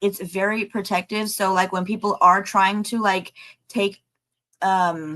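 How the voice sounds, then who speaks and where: Her bright, sharp voice sits at medium pitch as the woman speaks fairly slowly in a monotone, flat way. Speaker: spiritual channel host, tarot reader. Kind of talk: live stream chat with viewers. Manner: casual, rambling with fillers.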